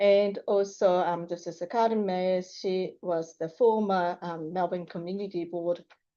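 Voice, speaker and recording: Against a quiet background, a woman with a Japanese accent speaks at a moderate pace in a fairly low, dark, mellow tone with fairly even intonation. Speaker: high school teacher. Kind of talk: public presentation. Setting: council meeting room. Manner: halting.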